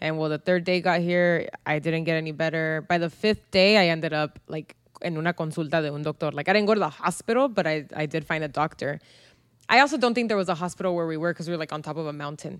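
A woman talks at a very fast pace in a fairly low pitch. Her pitch variation is ordinary. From US, San Diego, Mexican-American family. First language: Spanish. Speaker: podcast co-host. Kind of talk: casual chat.

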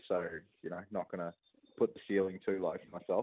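With an Australian accent, a man's speech moves at a fairly quick pace. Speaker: discus thrower. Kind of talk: interview.

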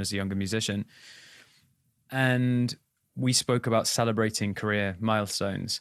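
Speaking at a moderate pace with long, frequent pauses, a man with an English accent has a fairly low pitch and fairly even intonation, recorded with a dry, close sound with no echo. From England. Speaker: touring musician and podcast co-host. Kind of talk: casual chat.

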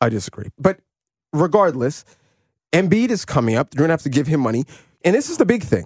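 A somewhat breathy man speaks very fast at a fairly high pitch. His pitch swings very widely, and he takes long, frequent pauses. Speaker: sports podcast host. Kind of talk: casual sports debate.

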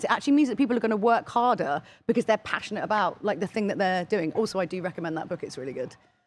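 A woman with a British accent talks at a very fast pace, her pitch swinging very widely. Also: hardly any pauses. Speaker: special guest. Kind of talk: casual chat. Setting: studio.

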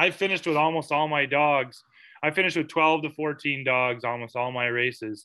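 Against a quiet background, a man with an American accent uses a normal speaking voice, fairly high in pitch, with ordinary pitch variation and a moderate pace. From United States. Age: 40s. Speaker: dog musher. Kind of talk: interview.

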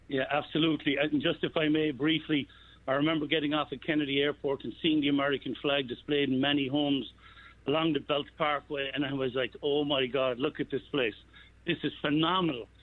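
Speaking in an Irish accent, a man keeps a fairly quick pace. His fairly high voice stays monotone and flat. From Ireland. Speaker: restaurateur. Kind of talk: interview.

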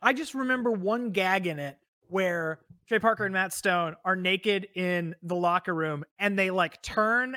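Raised and projected, a man's voice carries a bright, sharp tone and lively intonation at a moderate pace. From Texas, San Antonio. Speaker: podcast host. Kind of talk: casual chat.

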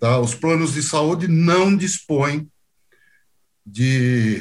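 A man speaks very slowly in a somewhat breathy voice. The recording is very clean, with a silent background. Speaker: medical auditor, former orthopedic surgeon. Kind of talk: interview.

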